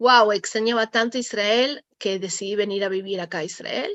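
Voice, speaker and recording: At a fairly high pitch, a woman speaks with fairly even intonation at a moderate pace. The sound is dry and close, with no echo. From Argentina, Buenos Aires. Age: 40s. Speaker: interviewee, mother of soldiers. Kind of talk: interview testimony.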